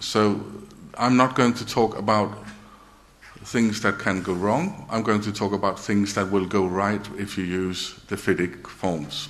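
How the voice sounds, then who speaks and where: Amid audible room echo, a man speaks at a fairly slow pace in a fairly low pitch with fairly even intonation. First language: Danish. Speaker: engineer and project director. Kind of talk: conference presentation. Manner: halting.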